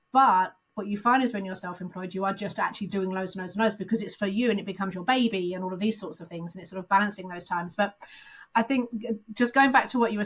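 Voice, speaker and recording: A woman's medium-pitched voice at a very fast pace, with ordinary pitch variation. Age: 50s. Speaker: recruitment consultant turned business founder. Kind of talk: interview answer. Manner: candid.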